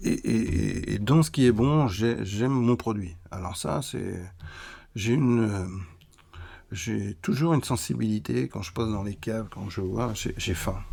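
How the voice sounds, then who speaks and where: The speech moves at a fairly slow pace with lively intonation. The recording is very clean, with a silent background. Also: man, fairly low pitch for a man. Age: 60s. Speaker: cheesemaker and business founder. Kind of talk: interview conversation. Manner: halting, many repetitions.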